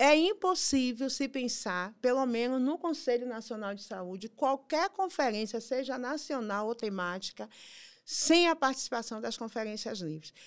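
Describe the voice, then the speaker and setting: Against a quiet background, a woman with a high pitch speaks fairly slowly with lively intonation. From Bahia, Brazil (Salvador). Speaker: health council member and activist; health council member. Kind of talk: interview. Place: studio. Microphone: studio mic.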